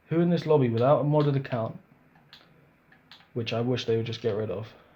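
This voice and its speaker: Somewhat breathy and dark, mellow in tone, a man talks at a fairly quick pace at medium pitch with ordinary pitch variation. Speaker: gaming youtuber. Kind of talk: casual gameplay commentary. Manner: casual, hesitant with self-corrections.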